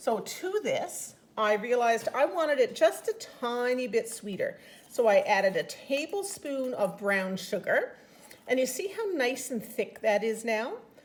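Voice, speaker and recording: An enthusiastic woman's high pitch with very wide pitch swings, at a fairly slow pace. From Newfoundland, Canada. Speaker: home cooking demonstrator and product consultant; home cooking demonstrator. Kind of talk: cooking tutorial. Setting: home kitchen. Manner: chatty, enthusiastic. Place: kitchen.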